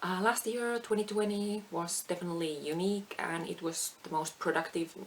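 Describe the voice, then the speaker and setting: With fairly even intonation, a woman speaks at a moderate pace while noticeable background noise is present. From Finland. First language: Finnish. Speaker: craft vlogger. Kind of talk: casual chat. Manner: halting.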